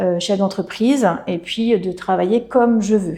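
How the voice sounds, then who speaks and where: Against a quiet background, a woman speaks with a dark, mellow tone, medium pitch and fairly even intonation. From Brittany, France. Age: 40s. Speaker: hairdresser and salon owner. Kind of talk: interview. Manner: hesitant, many fillers.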